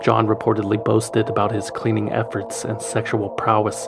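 A man at a fairly quick pace over music in the background. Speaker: podcast narrator. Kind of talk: true crime narration. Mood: serious storytelling.

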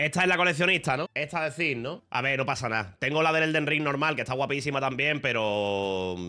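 A man's bright, sharp voice with very wide pitch swings at a moderate pace, against a quiet background. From Spain. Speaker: streamer. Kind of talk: casual chat. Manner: animated. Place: home room. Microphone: studio mic.

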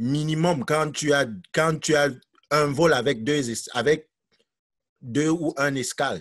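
This man speaks at a very slow pace with a fairly high pitch. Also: quiet background. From Cameroon. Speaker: teacher. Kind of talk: testimony. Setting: video call. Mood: earnest, reflective. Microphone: video call.

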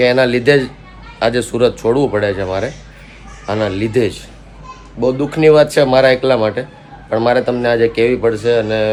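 Over crowd noise and audible room echo, a man speaks at a medium pitch with fairly even intonation. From Gujarat, Saurashtra. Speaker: family vlogger. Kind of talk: casual vlog talk.

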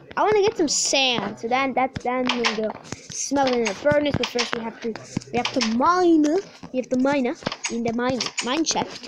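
Pausing long and often, a woman speaks in a high pitch with ordinary pitch variation over noticeable background noise. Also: moderate pace. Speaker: gaming YouTuber. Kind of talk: gameplay commentary. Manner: animated.

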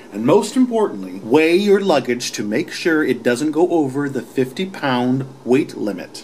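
The pitch swings very widely and there are hardly any pauses. Light background noise can be heard. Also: man, moderate pace. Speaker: travel show host. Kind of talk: tutorial. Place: home room. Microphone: phone near.

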